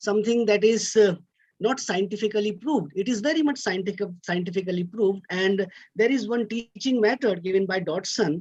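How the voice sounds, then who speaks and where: Speech with an Indian accent at a fairly quick pace. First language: Hindi. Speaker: academic speaker. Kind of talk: lecture. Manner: halting.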